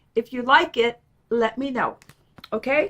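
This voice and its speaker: A woman speaks in a raised, projected voice with an animated tone. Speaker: quilting vlogger. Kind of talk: casual tutorial vlog.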